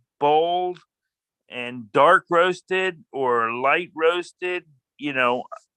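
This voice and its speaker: A man with an American accent, bright and sharp in tone, very slow, in a dry, close sound with no echo. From Miami, Florida. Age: 60s. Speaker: class participant. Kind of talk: casual discussion.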